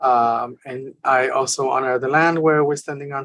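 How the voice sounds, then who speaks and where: With a Spanish accent, a woman talks at a moderate pace in a very deep, low pitch and a monotone, flat intonation. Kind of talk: panel discussion. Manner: halting, many fillers.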